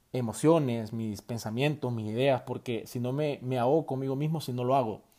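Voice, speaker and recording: On a very clean recording with a silent background, a man with a Salvadoran accent speaks at a moderate pace in a medium pitch, with fairly even intonation and a dark, mellow tone. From El Salvador. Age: 20s. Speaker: university student podcaster. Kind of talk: solo podcast monologue. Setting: at home late at night. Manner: hesitant, many fillers.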